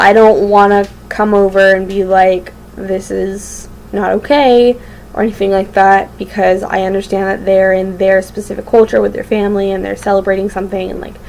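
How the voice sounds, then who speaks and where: A medium-pitched woman at a moderate pace, over noticeable background noise. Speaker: vlogger. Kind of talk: casual vlog monologue. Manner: halting, many fillers.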